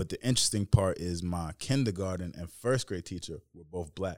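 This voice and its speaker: With an American accent, a man speaks at a moderate pace in a very deep, low pitch, with ordinary pitch variation and big swings in loudness. The recording is very clean, with a silent background and a dry, close sound with no echo. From Westchester, New York. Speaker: hemp company founder. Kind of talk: casual chat.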